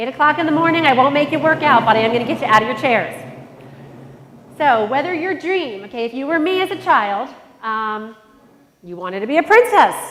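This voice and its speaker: Energetic and fairly quick, the speech swings very widely in pitch over noticeable background noise and audible room echo. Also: woman. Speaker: conference speaker. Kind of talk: motivational talk. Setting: stage with audience.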